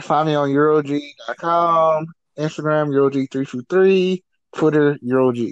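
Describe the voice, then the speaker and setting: At a very slow pace, a man speaks with fairly even intonation. His pitch is fairly high. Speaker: co-host, panelist.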